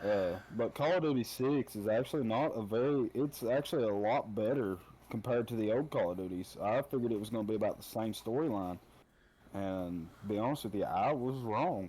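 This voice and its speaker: In an Appalachian accent, a man speaks at a fairly quick pace with a dark, mellow tone. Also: medium pitch for a man, ordinary pitch variation. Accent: Appalachian holler. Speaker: podcast guest, gamer. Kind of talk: casual chat.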